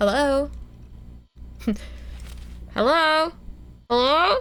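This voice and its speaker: A put-on character voice, female-sounding and high in pitch. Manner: repeated greeting into a phone.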